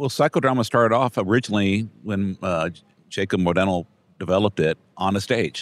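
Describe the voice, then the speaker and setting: In a very clean recording with a silent background and a dry, close sound with no echo, a man with an American accent talks fairly quickly in a fairly low voice with ordinary pitch variation. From Brownsville, Texas. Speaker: podcast host, trial lawyer. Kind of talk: scripted outro; interview conversation.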